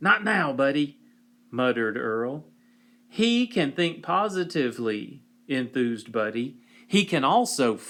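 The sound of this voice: Someone reads in an unforced voice. The delivery stays unforced.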